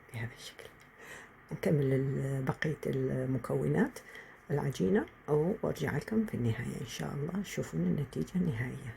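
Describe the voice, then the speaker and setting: Her pitch very deep and low, a woman speaks at a moderate pace with big swings in loudness. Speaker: home cook. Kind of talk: cooking tutorial.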